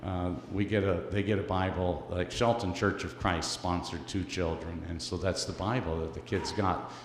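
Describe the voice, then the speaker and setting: Audible room echo surrounds a man with a very deep, low, somewhat breathy voice. He talks at a moderate pace with fairly even intonation and hardly any pauses. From Canada. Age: 60s. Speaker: missionary speaker for orphan charity. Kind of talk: church presentation. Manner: halting, many fillers.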